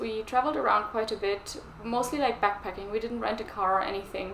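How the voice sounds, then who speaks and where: Against noticeable background noise, a woman with a German accent speaks at a fairly high pitch. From Germany. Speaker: knitting vlogger. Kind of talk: casual vlog chat.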